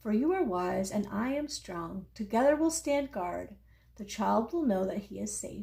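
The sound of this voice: This is an unforced reading voice. Nothing about it sounds pushed.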